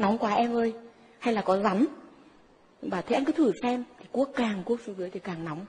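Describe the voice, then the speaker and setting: Over noticeable background noise, the speaker moves at a moderate pace with ordinary pitch variation and long, frequent pauses. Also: woman, fairly high pitch for a woman. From northern Vietnam, Ninh Binh. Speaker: psychic. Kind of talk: testimony. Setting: stage with audience.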